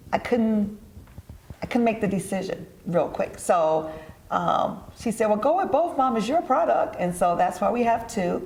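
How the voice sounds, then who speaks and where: A woman with an American accent and a fairly high pitch, with very wide pitch swings, audible room echo and noticeable background noise. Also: moderate pace. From Detroit, US Midwest. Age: 60s. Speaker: entrepreneur and event organizer. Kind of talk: TV interview.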